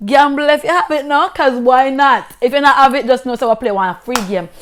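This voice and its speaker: A woman speaks with a Jamaican accent. Her tone is animated and her pitch is high. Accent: Jamaican, Patois. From rural Jamaica. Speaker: vlogger. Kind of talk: casual storytelling vlog.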